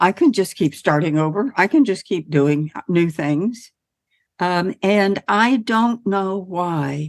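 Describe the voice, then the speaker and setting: A woman talks at a very slow pace with lively intonation and a medium pitch. The recording is dry and close, without any echo. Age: 70s. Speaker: podcast host. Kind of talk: casual chat.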